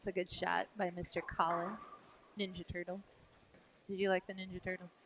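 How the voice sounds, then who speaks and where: At a moderate pace with long, frequent pauses, a woman speaks at medium pitch in a monotone, flat intonation. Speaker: bowling live stream commentator. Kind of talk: live commentary. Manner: loud. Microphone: microphone too quiet, sound problems.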